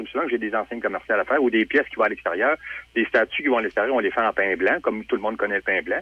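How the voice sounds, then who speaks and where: A man talks in a Quebec accent. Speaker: sculptor. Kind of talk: interview.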